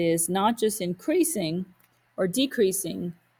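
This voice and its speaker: A woman's somewhat breathy, fairly low voice. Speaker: math teacher. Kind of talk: lecture.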